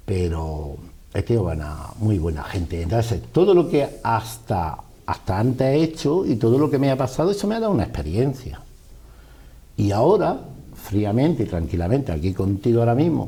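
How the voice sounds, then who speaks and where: There is noticeable background noise behind a man's voice. He speaks at a medium pitch with very wide pitch swings. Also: moderate pace. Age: 60s. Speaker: businessman. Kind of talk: interview.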